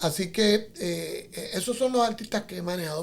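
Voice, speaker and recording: At a moderate pace, a man speaks in a high voice. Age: 60s. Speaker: TV producer and artist manager. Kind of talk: interview conversation.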